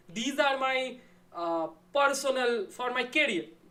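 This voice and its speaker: A woman speaks with a Bengali accent. Her intonation is lively. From India, Bengal. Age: 20s. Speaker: YouTuber discussing philosophy. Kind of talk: live stream Q&A with chat. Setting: live stream at home. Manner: casual, relaxed.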